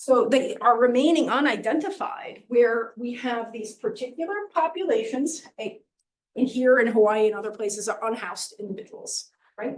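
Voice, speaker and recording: A woman's high-pitched voice with lively intonation and big swings in loudness. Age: middle-aged. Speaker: professor. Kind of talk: lecture. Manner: fast.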